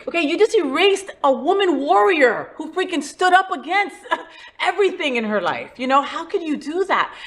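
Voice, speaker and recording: Amid noticeable background noise, a woman with an extremely high pitch speaks at a moderate pace. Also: lively intonation. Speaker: podcast host. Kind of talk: casual podcast conversation.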